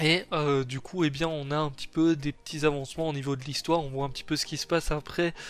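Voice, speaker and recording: A man's fairly high, monotone voice with flat intonation at a moderate pace, on a very clean recording with a silent background. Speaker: anime youtuber. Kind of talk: video review. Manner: casual, filler-heavy.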